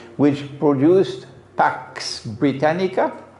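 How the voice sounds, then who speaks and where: A man speaks at a fairly high pitch for a man. The room echo is audible. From Trinidad. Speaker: Islamic scholar and preacher. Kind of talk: religious lecture. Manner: conversational, rhetorical questions.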